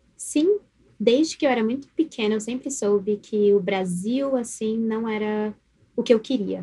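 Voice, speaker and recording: A woman with a fairly high, somewhat breathy voice and a dark, mellow tone talks at a fairly slow pace, her pitch varying in an ordinary way. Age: 20s. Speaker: guest. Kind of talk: casual chat.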